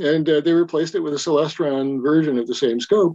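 Dry and close with no echo, the voice has a dark, mellow tone, ordinary pitch variation, and an American accent. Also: man. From Wyoming, US. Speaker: science fiction writer and telescope maker. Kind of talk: casual interview chat.

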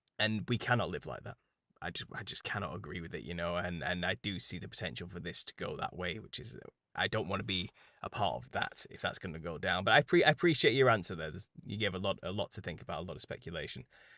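Over a quiet background, a man with a British accent talks very fast in a very deep, low pitch, his bright, sharp tone showing vocal fry, lively intonation and big swings in loudness. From England. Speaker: conspiracy podcast host. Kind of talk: interview conversation.

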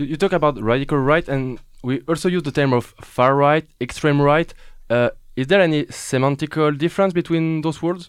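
In a very clean recording with a silent background, a man with a French accent speaks at a moderate pace, his fairly high pitch showing ordinary pitch variation. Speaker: radio host. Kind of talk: interview. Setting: studio. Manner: animated.

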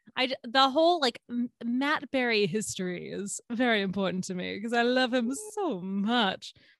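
A normal speaking voice from a woman with an American accent, fairly high in pitch, with lively intonation, a moderate pace, hardly any pauses, and a dry, close sound with no echo. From Georgia, US. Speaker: podcast host, guest. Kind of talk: casual chat.

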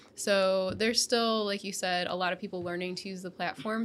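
A woman speaks at a moderate pace and medium pitch with ordinary pitch variation in a normal speaking voice. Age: 30s. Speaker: video marketing podcast co-host. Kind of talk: casual chat.

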